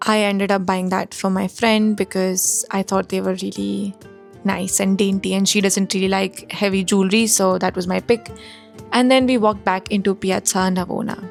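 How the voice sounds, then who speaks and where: Moderate pace and fairly even intonation from a woman at medium pitch, with music in the background. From India. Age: 20s. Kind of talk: travel vlog voiceover narration.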